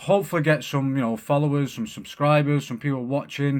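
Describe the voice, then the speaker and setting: A man with a strong Manchester accent talks at a fairly quick pace in a medium pitch. The recording is very clean, with a silent background. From Manchester, northern England. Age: 30s. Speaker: podcast host. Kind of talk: casual monologue. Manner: animated.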